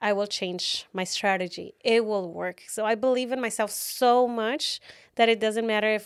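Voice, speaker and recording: On a very clean recording with a silent background, a woman talks at a moderate pace, her fairly high pitch held in fairly even intonation. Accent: Mexican. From Tijuana, Mexico. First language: Spanish. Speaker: author and keynote speaker. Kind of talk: podcast interview.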